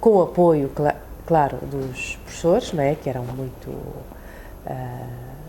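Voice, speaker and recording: Very slowly, a woman talks with long, frequent pauses. Her loudness swings a lot against noticeable background noise. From China, raised in Portugal from age 8. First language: Chinese (speaking Portuguese). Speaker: immigrant interviewee. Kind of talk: interview testimony.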